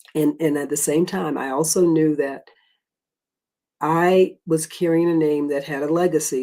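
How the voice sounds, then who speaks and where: A Southern US accent comes through in the speech. The recording is very clean, with a silent background. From US South, South Carolina. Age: 60s. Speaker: former court stenographer and Marine veteran. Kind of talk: interview.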